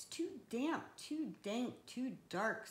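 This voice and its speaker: A squeaky, high-pitched, female-sounding put-on character voice. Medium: read story.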